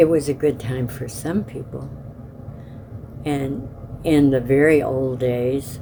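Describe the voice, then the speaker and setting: With long, frequent pauses and fairly even intonation, a woman with a very deep, low pitch speaks at a very slow pace over noticeable background noise. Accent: American. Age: 80s+. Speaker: oral history interviewee. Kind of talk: oral history interview.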